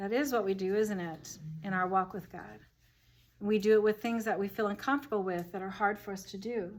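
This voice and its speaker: A woman talks at a fairly quick pace and medium pitch in an ordinary speaking voice. Her intonation stays fairly even, while her loudness swings widely. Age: 60s. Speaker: Bible study leader. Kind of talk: group Bible study discussion. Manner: conversational.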